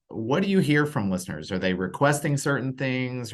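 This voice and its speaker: A man with a normal speaking voice, medium pitch and lively intonation. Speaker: podcast network executive and interview host. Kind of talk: podcast interview host talk.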